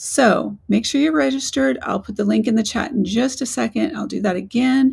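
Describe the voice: In a raspy, put-on character voice, a woman with a fairly high pitch makes very wide pitch swings at a moderate pace with hardly any pauses.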